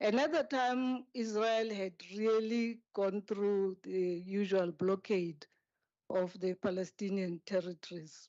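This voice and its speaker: A woman's voice of medium pitch, with ordinary pitch variation. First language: not English. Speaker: speaker at a memorial service, former aide to a president. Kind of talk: memorial tribute speech. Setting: memorial service hall.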